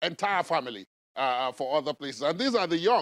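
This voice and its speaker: A man speaks with a Nigerian accent. The recording is very clean with a silent background, and the sound is dry and close with no echo. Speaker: TV news host. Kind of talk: formal TV interview. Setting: studio.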